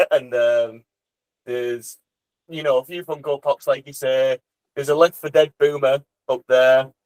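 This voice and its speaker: In a dry, close recording with no echo, a man with a Teesside accent speaks at a moderate pace in a fairly high voice, his intonation fairly even, his loudness swinging widely and his speech broken by long, frequent pauses. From northern England, Teesside (Middlesbrough/Saltburn). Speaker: drum and bass DJ and producer. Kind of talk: casual interview chat.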